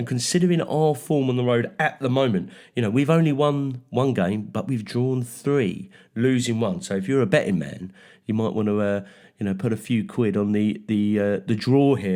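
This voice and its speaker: Recorded very cleanly with a silent background, a man with a London accent speaks at a moderate pace in a dark, mellow tone of medium pitch, using lively intonation. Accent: Mockney. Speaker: football podcast co-host. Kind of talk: casual chat, match preview.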